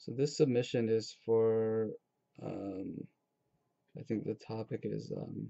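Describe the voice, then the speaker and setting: A man speaks at a very slow pace with long, frequent pauses and a medium pitch. His intonation stays fairly even, his loudness swings widely, and the background is quiet. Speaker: artist. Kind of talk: casual talk while drawing. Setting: home webcam recording. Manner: monotone. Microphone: webcam.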